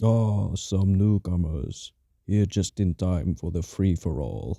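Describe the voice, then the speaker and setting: A man uses a put-on character voice, very deep and low in pitch, at a fairly slow pace. The recording is very clean with a silent background. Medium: audio drama. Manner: bellowing.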